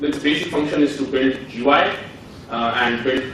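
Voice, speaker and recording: There is audible room echo and noticeable background noise. A man with a fairly high pitch speaks with fairly even intonation. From India, Pune. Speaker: software developer and conference speaker. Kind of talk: conference talk. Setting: stage with audience. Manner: hesitant, many fillers.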